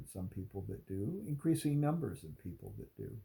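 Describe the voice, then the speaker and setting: Somewhat breathy, a man's voice has a dark, mellow tone. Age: 60s. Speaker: content creator on aging. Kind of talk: talking-head video monologue. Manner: halting with fillers.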